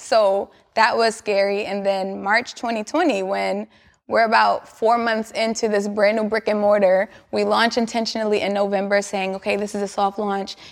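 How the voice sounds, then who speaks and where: A woman at a moderate pace and medium pitch, with monotone, flat intonation and an American accent. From New York, Queens. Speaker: fitness studio founder. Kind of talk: interview.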